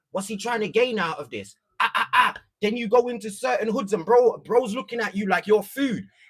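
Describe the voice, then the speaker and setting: A man with an extremely high pitch, fairly even intonation and a moderate pace. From East London. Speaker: content creator. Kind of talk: casual livestream chat. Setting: livestream.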